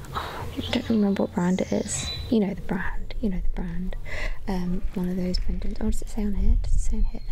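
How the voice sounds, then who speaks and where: Whispering, a woman talks at a fairly quick pace. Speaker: ASMR creator. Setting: outdoors. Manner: whispered. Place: garden.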